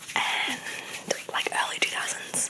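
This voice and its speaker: Whispering at a very slow pace, a woman speaks over noticeable background noise. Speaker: ASMR creator. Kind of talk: casual ASMR Q&A ramble. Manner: whispered.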